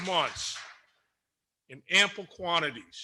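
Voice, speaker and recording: A man's voice is raised and projected, carrying a bright, sharp tone. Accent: American. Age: 60s. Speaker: school board member. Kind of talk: public meeting remarks. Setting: public meeting with audience. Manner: stammering.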